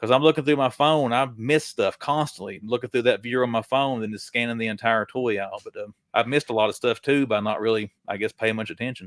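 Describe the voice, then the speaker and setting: A man speaks at a very fast pace with hardly any pauses, his pitch medium and his intonation fairly even, in a very clean recording with a silent background and a dry, close sound with no echo. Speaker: toy collector YouTuber. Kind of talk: casual livestream interview.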